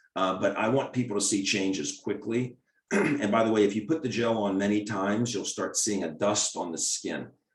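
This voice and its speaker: A man with an American accent, a normal speaking voice, fairly low in pitch with ordinary variation, at a moderate pace. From US, Maryland. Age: 60s. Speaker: doctor. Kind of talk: Q&A webinar answering questions.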